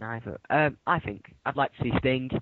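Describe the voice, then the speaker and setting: Using a British accent, a man talks at a moderate pace in a medium pitch with ordinary pitch variation. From Britain. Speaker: YouTube wrestling chat host. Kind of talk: casual chat. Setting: Skype call. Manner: halting.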